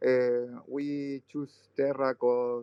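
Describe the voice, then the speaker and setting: Here a man talks in a Spanish accent. His intonation stays monotone and flat. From Chile. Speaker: game project founder. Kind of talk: casual chat. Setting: online audio chat room. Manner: halting.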